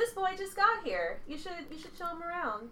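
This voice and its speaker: An extremely high, put-on character voice with a warm, bubbly tone plays over clear background noise. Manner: warm, bubbly, motherly.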